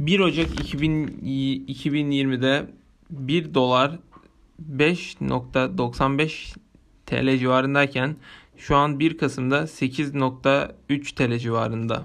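Pace is very slow as a man talks at medium pitch with fairly even intonation. Loudness stays very even throughout. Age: 20s. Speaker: university student podcaster. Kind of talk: solo monologue podcast. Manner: halting.

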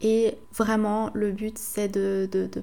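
A woman has an ordinary speaking voice and fairly even intonation. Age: 20s. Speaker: podcast host. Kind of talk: solo podcast monologue.

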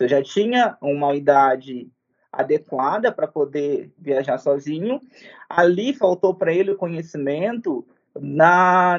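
A man with a high pitch. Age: 20s. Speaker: podcast creator and education researcher. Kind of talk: interview.

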